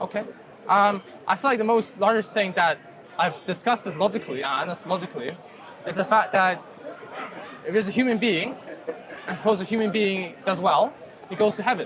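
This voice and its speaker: Over crowd noise in the background, a man with a high pitch talks at a fairly quick pace with ordinary pitch variation and long, frequent pauses. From China. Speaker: student. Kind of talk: debate. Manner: hesitant.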